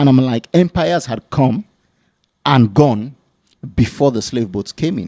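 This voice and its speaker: A man with a dark, mellow tone speaks at a fairly slow pace with long, frequent pauses and lively intonation, in a dry, close sound with no echo. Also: medium pitch for a man. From West Africa. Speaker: YouTuber, commentator. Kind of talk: casual discussion. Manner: hesitant, many fillers.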